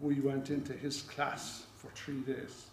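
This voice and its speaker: Audible room echo follows a man as he speaks at a very slow pace. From Ireland. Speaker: stuttering awareness campaigner. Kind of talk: public speech. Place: hall.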